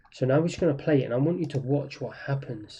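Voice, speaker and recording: Talking at a fairly quick pace, the man has a fairly high pitch, a somewhat breathy, dark, mellow tone and ordinary pitch variation. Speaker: trading instructor. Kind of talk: tutorial.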